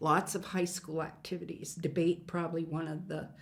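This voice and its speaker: With an Upper Midwest accent, a woman talks at a fairly slow pace and a fairly low pitch. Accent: Upper Midwest American. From western South Dakota (Hot Springs, Lead). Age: 70s. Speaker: former state cabinet official. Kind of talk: oral history interview.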